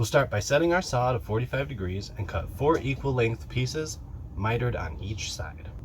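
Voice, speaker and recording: Over noticeable background noise, a man talks at a medium pitch with very wide pitch swings. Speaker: woodworking youtuber. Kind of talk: tutorial. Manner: fast.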